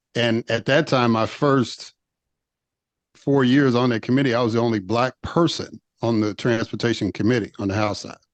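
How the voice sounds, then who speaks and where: Over a quiet background, a man with a plain, everyday voice and an American accent speaks at a moderate pace, with medium pitch and fairly even intonation. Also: dry, close sound with no echo. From US Midwest, Chicago. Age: 50s. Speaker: former state legislator. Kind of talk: interview.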